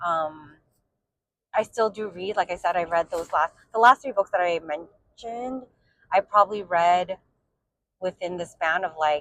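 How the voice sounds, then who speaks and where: Speaking at a moderate pace with long, frequent pauses, a woman with an American accent uses a medium pitch and ordinary pitch variation, recorded with a dry, close sound and no echo. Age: 40s. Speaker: book vlogger. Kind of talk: casual monologue vlog. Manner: rambling with many fillers (um, like).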